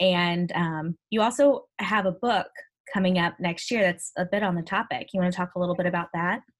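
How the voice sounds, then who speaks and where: In an American accent, a woman with an ordinary speaking voice talks at a fairly quick pace, her medium pitch showing ordinary pitch variation. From US Midwest, Ferguson, Missouri (St. Louis area). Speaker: podcast host, youth ministry organization founder. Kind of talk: casual interview chat.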